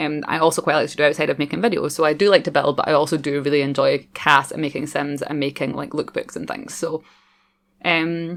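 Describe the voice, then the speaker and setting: With a strong Scottish accent, a woman speaks in a very deep, low voice and fairly even intonation. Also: fairly quick pace. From Scotland. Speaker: gaming YouTuber. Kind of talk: voiceover commentary. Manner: fast; casual, chatty.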